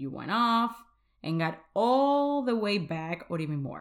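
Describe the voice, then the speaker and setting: A woman speaks with a Spanish accent. Her intonation is lively. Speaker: podcast host, faith-based weight coach. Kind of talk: motivational solo podcast talk; prayer.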